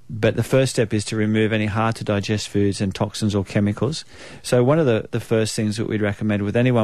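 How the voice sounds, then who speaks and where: Very fast speech in a New Zealand accent, fairly even in intonation, over a quiet background. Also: man. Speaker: naturopath, radio guest. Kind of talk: informal explanatory health advice.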